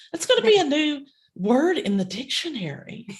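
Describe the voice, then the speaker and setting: A woman speaks in a strong Kentucky accent, somewhat breathy, with very wide pitch swings. Her pace is fairly slow, and the background is quiet. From rural Kentucky. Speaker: podcast co-host, inspirational speaker. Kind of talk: casual chat.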